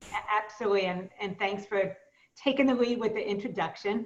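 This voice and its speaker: This woman speaks with a Brooklyn accent. Her intonation is fairly even. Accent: Brooklyn New York. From US Northeast, Brooklyn, New York. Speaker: business coach. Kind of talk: webinar presentation.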